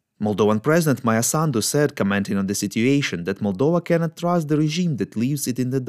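Here is a man with a normal speaking voice at medium pitch. He talks at a fairly quick pace with lively intonation. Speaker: news podcast host. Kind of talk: formal newsreading, steady scripted delivery of wartime headlines. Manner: formal; even, measured, neutral and serious.

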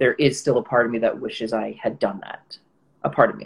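A man's voice comes across as somewhat breathy. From Israel. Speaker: actor. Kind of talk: casual chat.

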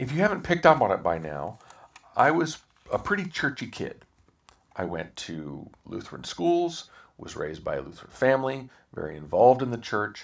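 Big swings in loudness and very wide pitch swings come through in an American accent. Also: man, medium pitch for a man, moderate pace. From Kansas, US Midwest. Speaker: podcast host. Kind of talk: podcast outro; personal storytelling monologue.

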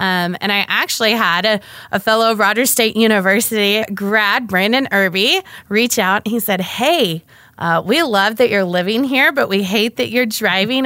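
In an ordinary speaking voice, a woman with an American accent talks at a moderate pace, her pitch fairly high and her pitch variation ordinary. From Oklahoma. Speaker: economic development director. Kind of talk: casual interview.

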